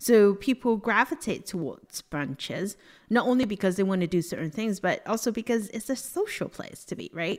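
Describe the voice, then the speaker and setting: With lively intonation and a medium pitch, a woman with an unremarkable speaking voice talks at a moderate pace. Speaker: fintech speaker and advisor. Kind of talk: casual interview chat.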